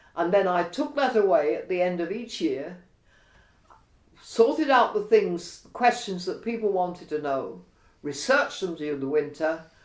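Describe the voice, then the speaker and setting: Spoken at a moderate pace, the voice swings very widely in pitch and greatly in loudness, with audible room echo. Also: woman, fairly low pitch for a woman. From London (Cockney, East End). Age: 80s+. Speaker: retired career woman and political campaigner. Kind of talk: interview, life story.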